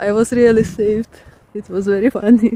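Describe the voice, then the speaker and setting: Against noticeable background noise, a woman with a Ukrainian accent speaks at a fairly high pitch with ordinary pitch variation. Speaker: artist and vlogger. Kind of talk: casual vlog talk. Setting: outdoors in a park. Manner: halting, with many fillers.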